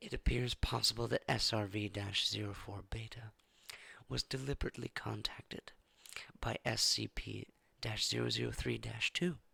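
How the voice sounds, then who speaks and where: Soft-spoken, the voice comes with long, frequent pauses. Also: moderate pace. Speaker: ASMR reader. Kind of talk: ASMR document reading.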